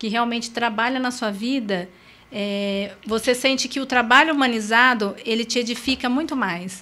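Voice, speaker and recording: On a very clean recording with a silent background, a woman speaks at a moderate pace with a fairly high pitch, ordinary pitch variation and a bright, sharp tone. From Brazil, São José do Rio Preto, São Paulo state. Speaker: motivational speaker and coach. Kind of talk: interview.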